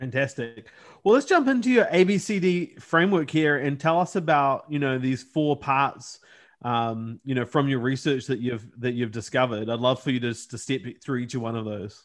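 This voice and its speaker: At a moderate pace, an ordinary speaking voice shows ordinary pitch variation, the background quiet. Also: man, medium pitch for a man. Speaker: podcast host. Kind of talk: casual interview chat.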